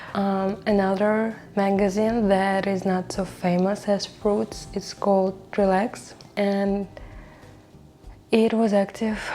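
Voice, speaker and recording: A woman's medium-pitched voice with a non-native accent, very slow and monotone, flat in intonation. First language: not English. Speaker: video creator. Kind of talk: casual talk to camera. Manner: halting, with fillers.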